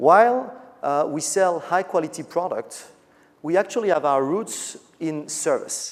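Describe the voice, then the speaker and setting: Talking at a fairly slow pace, a man with a French accent uses a high pitch and ordinary pitch variation. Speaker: business executive. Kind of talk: conference keynote speech.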